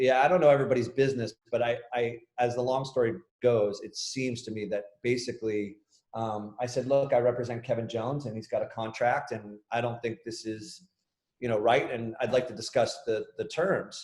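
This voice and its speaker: Somewhat breathy speech in an American accent moves at a moderate pace with fairly even intonation. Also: man, medium pitch for a man. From Boston area, Massachusetts. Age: 40s. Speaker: sports agent. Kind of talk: podcast interview. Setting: video call.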